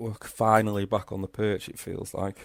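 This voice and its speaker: Man with a Liverpool accent and fairly low pitch at a fairly slow pace, on a very clean recording with a silent background. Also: dry, close sound with no echo. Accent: Liverpool-sounding. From Crewe, Cheshire, northwest England. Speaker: football podcast co-host. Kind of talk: casual chat.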